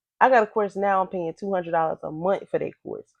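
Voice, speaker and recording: A woman speaks very fast at medium pitch with an animated tone. The sound is dry and close with no echo, over a quiet background. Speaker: online business creator. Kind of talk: casual product walkthrough.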